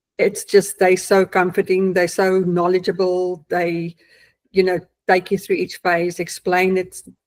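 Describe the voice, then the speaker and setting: With a South African accent, a woman of medium pitch speaks fairly slowly in a flat monotone, on a very clean recording with a silent background. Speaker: client giving testimonial, accountant. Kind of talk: testimony. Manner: hesitant, many fillers.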